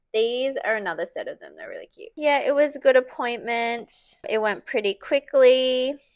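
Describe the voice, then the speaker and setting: In an Australian accent, a woman speaks at a moderate pace. The recording is very clean, with a silent background. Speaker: breast cancer patient vlogger. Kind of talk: casual talk to camera.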